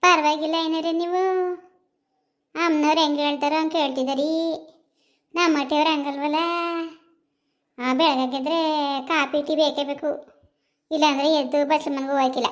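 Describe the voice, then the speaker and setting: A woman does a cartoonish character voice at a high pitch, speaking fairly slowly in a flat monotone on a very clean recording with a silent background. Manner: chatty, colloquial.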